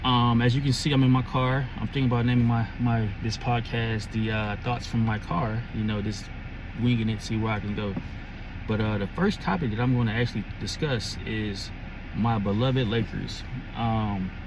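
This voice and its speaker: Fairly even intonation over noticeable background noise, in a dry sound with no echo. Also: man, moderate pace. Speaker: sports fan vlogger. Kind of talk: casual vlog chat. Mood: relaxed, conversational. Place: car. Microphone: phone near.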